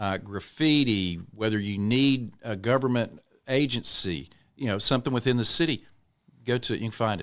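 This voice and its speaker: Here a man talks in an East Texas accent. His pitch sits in the medium range. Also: ordinary pitch variation, moderate pace. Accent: East Texas Southern US. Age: 60s. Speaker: city councilman and mayoral candidate. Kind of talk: podcast interview. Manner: casual conversational.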